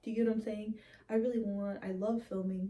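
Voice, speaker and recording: A woman speaks in a somewhat breathy voice with monotone, flat intonation. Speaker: horror YouTuber. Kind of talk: personal vlog monologue. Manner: casual, filler-heavy.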